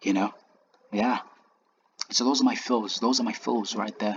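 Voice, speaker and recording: A non-native accent is audible. Speech proceeds at a moderate pace. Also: man. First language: not English. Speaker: trading educator. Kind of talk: tutorial. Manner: halting.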